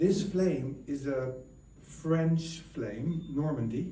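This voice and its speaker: With a strong Dutch accent, a man talks at a fairly high pitch with ordinary pitch variation, and audible room echo surrounds him. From Netherlands. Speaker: guest speaker at ceremony. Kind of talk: public speech. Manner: halting.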